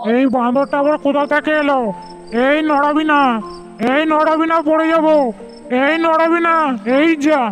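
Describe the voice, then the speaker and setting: Clear music plays in the background as a cartoonish character voice talks at a moderate pace. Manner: gruff, scolding.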